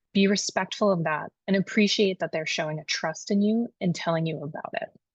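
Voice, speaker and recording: A woman speaks at a fairly quick pace in a medium pitch with ordinary pitch variation, her voice somewhat breathy and the sound dry and close with no echo. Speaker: HR consultant. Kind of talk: tutorial. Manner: fast.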